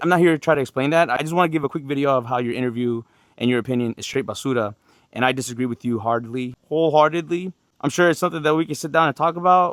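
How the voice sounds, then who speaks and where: A man's fairly high, very fast voice with ordinary pitch variation, in a dry, close sound with no echo. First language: not English. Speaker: Marine drill instructor. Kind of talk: opinion rant video. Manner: animated.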